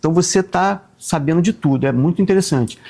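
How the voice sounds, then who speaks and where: Lively intonation runs through a man's speech, which keeps to a moderate pace. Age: 60s. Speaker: actor and comedian. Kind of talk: casual chat.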